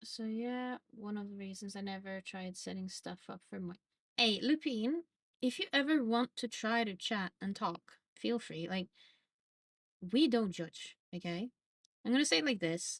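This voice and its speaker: Speaking fairly slowly with long, frequent pauses, a woman with a Norwegian accent uses a fairly high, somewhat breathy voice, lively intonation and big swings in loudness, on a dry, close recording with no echo. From Norway. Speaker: streamer. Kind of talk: casual chat. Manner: casual, filler-heavy.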